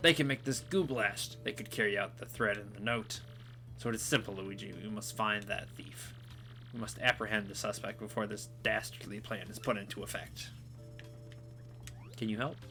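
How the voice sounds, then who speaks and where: A man puts on a character voice at a medium pitch and a moderate pace. Long, frequent pauses break up his speech over clear background noise. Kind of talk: comic overacting. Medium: solo performance. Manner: pompous, formal.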